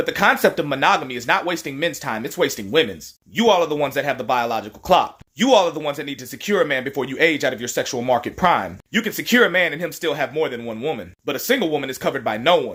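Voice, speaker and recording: The delivery races along at high speed. Breaks between words are almost absent. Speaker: social media commentator. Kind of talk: commentary video monologue. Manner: fast.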